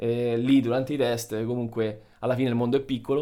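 With an unremarkable speaking voice, a man talks at a moderate pace, medium in pitch with fairly even intonation. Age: 30s. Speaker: dentist. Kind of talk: casual chat.

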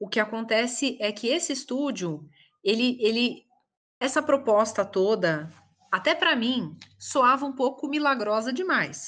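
A woman talks at a fairly slow pace with lively intonation. Her voice sits high in pitch. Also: quiet background. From São Paulo, Brazil. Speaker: voice actress. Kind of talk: interview.

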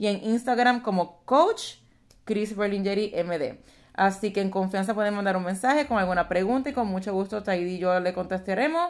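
A woman in a Puerto Rican accent, medium pitch and ordinary pitch variation, at a moderate pace on a very clean recording with a silent background. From Puerto Rico. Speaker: physician and life coach. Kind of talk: casual chat.

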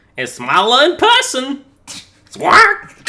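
This man is doing a put-on character voice. It sits extremely high in pitch.

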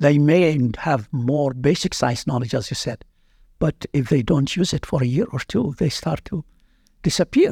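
Somewhat breathy, dark and mellow male voice, fairly high in pitch, with lively intonation at a moderate pace, recorded dry and close with no echo. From Iraq (Baghdad). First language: Arabic. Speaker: veterinary anatomy professor. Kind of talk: interview.

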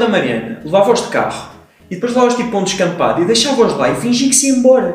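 With audible room echo and noticeable background noise, a man speaks at an extremely high pitch with ordinary pitch variation. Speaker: podcast co-host. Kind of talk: casual chat with storytelling. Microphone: too far from the microphone.

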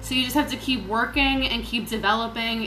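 An American-accented woman talks at a fairly high pitch and moderate pace, with audible room echo and noticeable background noise. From Virginia, US. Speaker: poet and spiritual artist. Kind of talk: casual interview chat.

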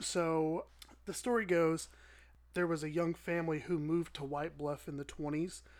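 With a normal speaking voice, a man talks at a moderate pace in a fairly high pitch, keeping his intonation fairly even. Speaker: podcast co-host. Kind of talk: ghost story telling.

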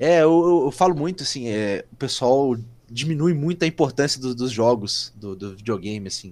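On a very clean recording with a silent background, a man with a medium pitch talks at a moderate pace in a plain, everyday voice, his intonation lively and his loudness swinging widely. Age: 20s. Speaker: football fan page administrator. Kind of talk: casual chat.

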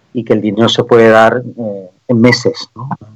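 At a moderate pace, a man talks at medium pitch. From Canary Islands, Spain. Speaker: tech entrepreneur. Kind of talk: radio interview.

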